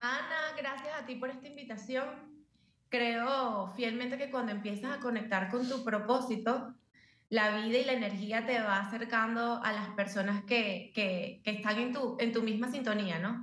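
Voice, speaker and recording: Amid audible room echo, a woman with a Venezuelan accent speaks fairly slowly at a fairly high pitch, with fairly even intonation. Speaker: journalist, burn survivor. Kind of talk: testimony.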